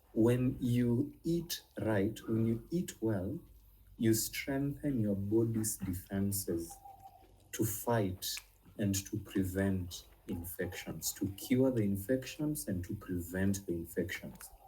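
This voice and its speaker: A fairly low, somewhat breathy male voice with a dark, mellow tone and lively intonation, at a very slow pace amid audible room echo. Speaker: nutrition and herbal medicine teacher. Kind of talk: online class lecture. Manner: hesitant, many fillers.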